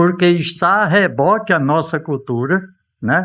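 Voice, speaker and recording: High pitch for a man, with ordinary variation in the pitch. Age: 70s. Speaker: retired teacher, lecturer on culture. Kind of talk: casual talk at cultural event. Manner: halting, with many fillers.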